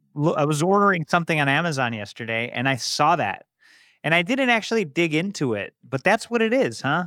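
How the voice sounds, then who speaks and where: In a very clean recording with a silent background, a man with a fairly high pitch and a bright, sharp tone speaks fairly quickly, his pitch swinging very widely. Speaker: podcast host. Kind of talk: interview.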